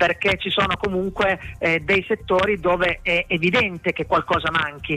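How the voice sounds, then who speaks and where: A man's high-pitched voice proceeds at a moderate speed, with noticeable noise in the background. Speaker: sports journalist. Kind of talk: match report.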